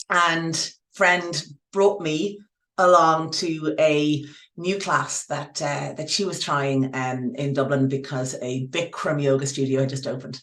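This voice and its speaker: A fairly slow pace carries ordinary pitch variation. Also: woman, very deep, low pitch for a woman. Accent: Irish. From Ireland. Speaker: yoga teacher. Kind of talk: interview. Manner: halting.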